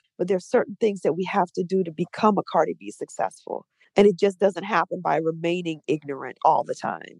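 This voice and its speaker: At a fairly quick pace, a woman with an American accent talks in an animated tone at a fairly low pitch with vocal fry and ordinary pitch variation, the sound dry and close with no echo. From New Orleans, US South. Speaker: DJ. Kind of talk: casual interview.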